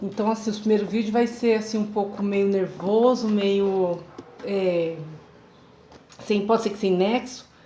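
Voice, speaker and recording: A woman's voice, with ordinary pitch variation, carries audible room echo. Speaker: seamstress turned workshop owner, vlogger. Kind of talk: personal testimony monologue.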